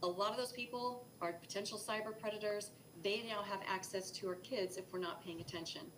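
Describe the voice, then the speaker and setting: Against noticeable background noise, a woman speaks fairly quickly at medium pitch with ordinary pitch variation. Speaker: cyber safety presenter. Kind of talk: educational presentation. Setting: live broadcast. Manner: fast.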